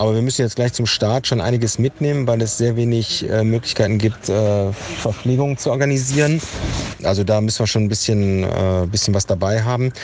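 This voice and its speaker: A man talks fairly quickly at a medium pitch, with fairly even intonation and very even loudness. Background noise is noticeable. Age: 50s. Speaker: photographer and long-distance cyclist. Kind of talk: video diary. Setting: on the road, in a car and outdoors. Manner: hesitant with many fillers.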